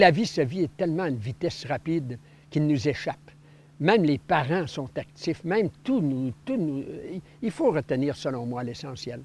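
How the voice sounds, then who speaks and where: Lively intonation marks this man's fairly high-pitched voice. His pace is moderate. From Quebec, Sacré-Coeur (Côte-Nord). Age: 60s. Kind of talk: personal testimony. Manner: hesitant, many filler words.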